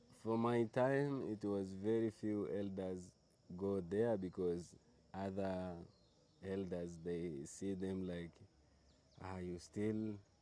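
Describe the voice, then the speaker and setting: A man with a Tanzanian accent speaks in a very deep, low pitch and a dark, mellow tone. His pace is very slow, with long, frequent pauses and fairly even intonation. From Meru, Tanzania. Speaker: tour guide. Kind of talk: interview answer.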